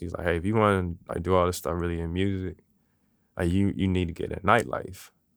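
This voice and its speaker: A man's very deep, low voice with an American accent and fairly even intonation, on a very clean recording with a silent background. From Washington DC / Maryland. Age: 30s. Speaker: podcast host and music creative director. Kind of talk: interview guest on own show, casual. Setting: recording studio. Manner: hesitant, many fillers.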